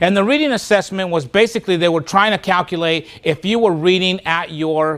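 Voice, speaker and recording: A man speaks in a high pitch with a Spanish accent. His tone is animated. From Spanish-speaking country, moved to US as a child. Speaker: motivational speaker. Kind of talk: keynote speech.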